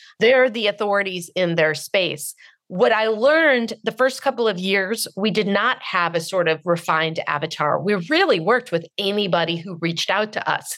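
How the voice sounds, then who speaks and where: This woman has a normal speaking voice with an American accent. She talks at a moderate pace, medium pitch and lively intonation. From US West Coast, Marin County, California. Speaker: book publisher and author. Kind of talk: interview.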